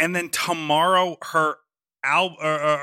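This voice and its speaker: Here a man speaks at a moderate pace with a fairly high pitch and an animated, bright, sharp tone. The recording is very clean, with a silent background. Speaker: podcast co-host. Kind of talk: casual comedic banter. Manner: animated, jokey.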